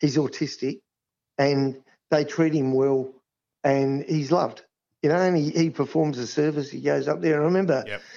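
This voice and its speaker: A man talks with an Australian accent at a moderate pace. His pitch varies in an ordinary way, broken by long, frequent pauses. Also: fairly high pitch for a man. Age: 60s. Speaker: sports ground manager. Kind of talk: interview.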